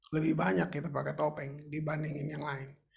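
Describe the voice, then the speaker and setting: A man speaks with a fairly high pitch. Audible room echo surrounds his voice. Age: 70s. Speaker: pastor. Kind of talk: sermon. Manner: conversational, informal.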